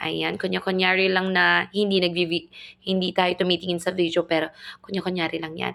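A woman speaks fairly quickly in a fairly low voice with vocal fry and a bright, sharp tone. Her intonation stays monotone and flat. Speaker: family vlogger. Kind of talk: vlog voice-over narration.

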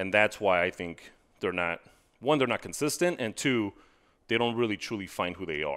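Over a quiet background, a man with an American accent speaks at a moderate pace in a fairly low voice. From Texas, El Paso. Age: 40s. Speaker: accountability coach. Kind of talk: casual interview. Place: studio. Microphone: headset.

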